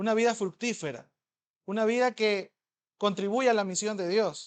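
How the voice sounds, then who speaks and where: Against a quiet background, a man with an extremely high voice sounds animated, his pitch varying in an ordinary way. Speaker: pastor. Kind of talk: sermon. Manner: fast.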